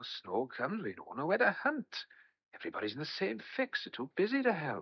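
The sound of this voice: Putting on a character voice, a man speaks at a fairly high pitch with a slightly husky edge. His pitch swings very widely, and his pace is fairly quick.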